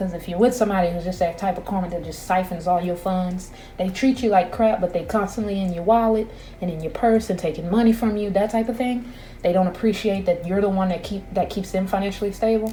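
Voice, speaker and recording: There is noticeable background noise as a woman speaks at a very fast pace. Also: medium pitch for a woman. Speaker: tarot reader. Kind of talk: intuitive tarot reading. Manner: loud; animated.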